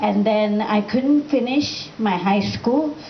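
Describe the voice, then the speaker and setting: Medium in pitch for a woman, her voice moves at a fairly slow pace with ordinary pitch variation. Audible room echo and noticeable background noise surround it. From Thailand (Bangkok), Malaysian. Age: 20s. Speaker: motivational speaker, author. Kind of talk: motivational talk. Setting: room with student audience, microphone.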